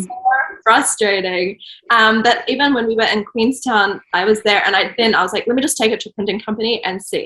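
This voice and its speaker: Someone with a New Zealand accent talks at a fairly quick pace with ordinary pitch variation. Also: woman, fairly high pitch for a woman. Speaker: children's book author and illustrator. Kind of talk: interview answer. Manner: casual, hesitant.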